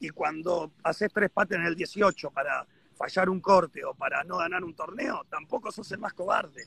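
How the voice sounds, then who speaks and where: Against noticeable background noise, a man talks at a moderate pace in a dry, close sound with no echo. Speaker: golf professional. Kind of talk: casual interview.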